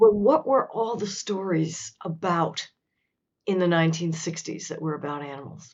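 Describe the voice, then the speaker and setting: This woman has an unremarkable speaking voice at a fairly low pitch. She keeps a moderate pace, with ordinary pitch variation and big swings in loudness. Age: 60s. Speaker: author. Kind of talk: interview.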